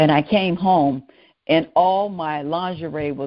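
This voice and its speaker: In a Southern US accent, a woman with a very deep, low voice speaks in an animated tone. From US South, New Orleans, Louisiana. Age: 70s. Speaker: educator and restorative practices trainer. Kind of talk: interview conversation.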